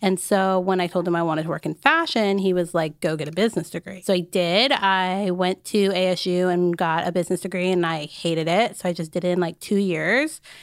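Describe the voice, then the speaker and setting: Recorded very cleanly against a silent background, a woman with an American accent and an unremarkable speaking voice talks at a fairly quick pace in a medium pitch, with fairly even intonation and hardly any pauses. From Arizona, US. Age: 20s. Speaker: fashion content creator. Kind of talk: casual interview chat.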